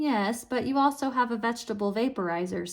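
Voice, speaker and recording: A woman uses a put-on character voice that is gruff and fairly high in pitch. She talks at a fairly quick pace. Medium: read story. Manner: hostile, accusing.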